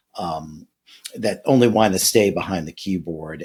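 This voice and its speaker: A man with an American accent has a very deep, low pitch. He talks at a fairly slow pace. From Louisiana, US South. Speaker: podcast host. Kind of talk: interview podcast.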